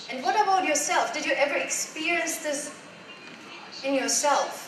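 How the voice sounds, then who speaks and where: A woman talks at a moderate pace with fairly even intonation. Noticeable background noise and audible room echo surround her voice. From Germany. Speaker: life coach. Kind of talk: motivational talk. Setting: stage with audience.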